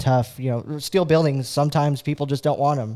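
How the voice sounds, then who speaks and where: A man with an American accent speaks in a dark, mellow tone with monotone, flat intonation. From California. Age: 20s. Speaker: racing video broadcaster and former driver. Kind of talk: casual chat. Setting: studio.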